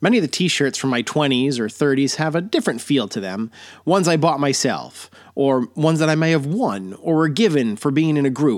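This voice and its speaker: In a very clean recording with a silent background, a man uses an ordinary speaking voice, fairly high in pitch with lively intonation. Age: 40s. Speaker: podcast host. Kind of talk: personal storytelling monologue; sponsor plug and sign-off.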